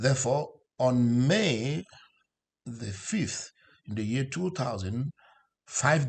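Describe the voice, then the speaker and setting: A man speaks at a medium pitch with lively intonation and a somewhat breathy quality against a quiet background. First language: not English. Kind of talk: sermon. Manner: halting, with fillers.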